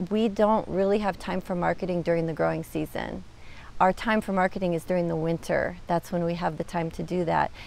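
At a moderate pace, a woman speaks in a dry sound with no echo. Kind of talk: interview answer. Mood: warm, smiling. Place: garden. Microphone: lapel.

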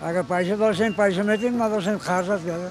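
A man's high voice at a very fast pace with fairly even intonation, a dry sound with no echo, and faint music in the background. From Kabul province, Afghanistan. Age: 80s+. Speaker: interviewee, elderly man. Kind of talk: interview answer. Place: market. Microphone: handheld.

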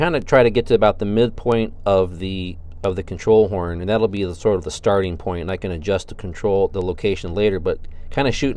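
Talking at a fairly quick pace, a man uses ordinary pitch variation in a dry sound with no echo. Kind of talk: tutorial. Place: workshop. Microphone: phone near.

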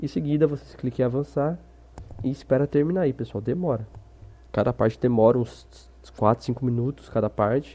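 Pausing long and often, a man with a medium pitch and a dark, mellow tone still moves at a fairly quick pace. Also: ordinary pitch variation. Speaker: gaming tutorial youtuber. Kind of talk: casual tutorial talk to camera.

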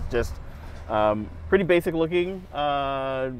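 A man speaks over music in the background, in a dry recording with no echo. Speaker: car reviewer. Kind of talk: presenter walkthrough. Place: car.

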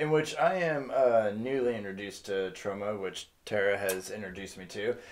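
Speaking at a moderate pace, a man with a fairly low pitch shows ordinary pitch variation and big swings in loudness. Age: 30s. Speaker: movie review co-host. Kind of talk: casual chat. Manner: animated.

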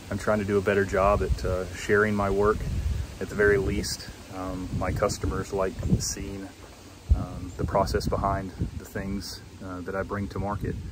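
Noticeable background noise sits under a dry sound with no echo. A man speaks at a moderate pace. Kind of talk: casual vlog chat. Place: workshop. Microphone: phone near.

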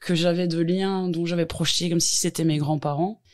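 This woman speaks at a medium pitch. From Belgium, Hainaut (Tournai area). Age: 40s. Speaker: home care worker. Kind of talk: interview. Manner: hesitant, many fillers.

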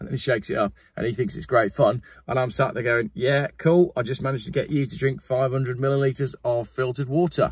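Somewhat breathy, a man talks at a very fast pace, the sound dry with no echo and the background quiet. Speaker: car vlogger. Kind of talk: casual sponsor read vlog chat. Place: car. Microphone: phone near.

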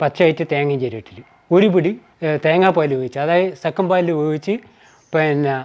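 The man's pitch is fairly high, with ordinary variation. The background is quiet. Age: 60s. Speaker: retired government employee and athletics coach. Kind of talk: interview. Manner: halting.

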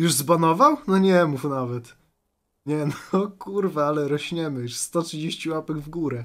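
A man at a fairly slow pace, with ordinary pitch variation, over a quiet background. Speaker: streamer reacting to videos. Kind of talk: commentary. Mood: mocking, amused. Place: home room. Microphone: studio mic.

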